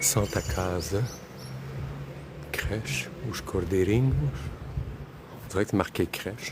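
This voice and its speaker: Noticeable background noise sits behind a man with a very deep, low voice. He talks very slowly with long, frequent pauses, yet his intonation is lively. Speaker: travel vlogger. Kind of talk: live-stream walking vlog. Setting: outdoors. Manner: loud; casual, rambling.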